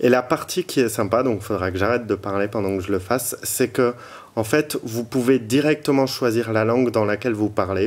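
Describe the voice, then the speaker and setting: The man's medium-pitched voice has ordinary pitch variation and proceeds at a fairly slow pace. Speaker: tech reviewer and blogger. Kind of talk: product review tutorial. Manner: hesitant, many fillers.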